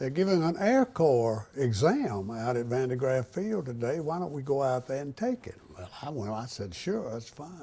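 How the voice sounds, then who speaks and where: A man with an Alabama accent talks at a moderate pace with hardly any pauses, his medium-pitched voice dark and mellow in tone, his intonation lively and his loudness swinging widely. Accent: Alabama Southern US. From US South, Tuscaloosa, Alabama. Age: 80s+. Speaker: war veteran. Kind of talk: oral history interview. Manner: halting.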